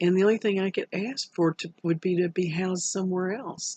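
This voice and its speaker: A woman's fairly low-pitched voice at a moderate pace, dry and close with no echo. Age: 50s. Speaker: student preparing for a study program. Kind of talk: personal video message. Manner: casual, halting with fillers.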